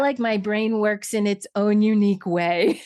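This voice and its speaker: Here a woman has a plain, everyday voice with lively intonation. Her pitch is fairly high over a quiet background. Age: 50s. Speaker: podcast host. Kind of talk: interview. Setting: podcast.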